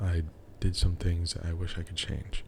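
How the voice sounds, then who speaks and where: A quiet, somewhat breathy man speaks with a very deep, low pitch and monotone, flat intonation. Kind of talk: casual talk to camera. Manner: quiet, with pauses.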